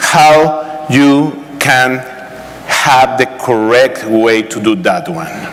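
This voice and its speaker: The speaker has a Spanish accent. There is noticeable background noise and audible room echo. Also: man. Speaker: real estate broker. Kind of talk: conference talk.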